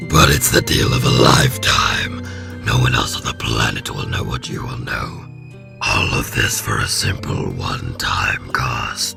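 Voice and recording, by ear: Faint music plays behind a put-on character voice with a bright, sharp tone and vocal fry, delivered at a fairly slow pace. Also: man, extremely low pitch for a man, ordinary pitch variation.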